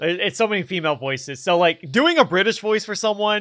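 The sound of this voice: Ordinary pitch variation shapes an unforced reading voice.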